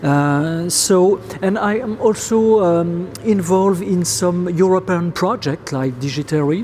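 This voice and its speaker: The speaker has a French accent and talks at a fairly slow pace with hardly any pauses. Noticeable background noise is present. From France. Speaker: professor. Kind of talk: interview. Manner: halting, many fillers.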